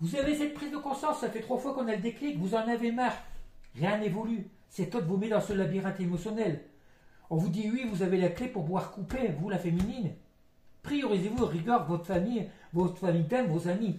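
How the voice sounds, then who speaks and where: With a dark, mellow tone and lively intonation, a man speaks at a fairly quick pace in a high voice. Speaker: psychic tarot reader. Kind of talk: tarot card reading. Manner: fast; halting.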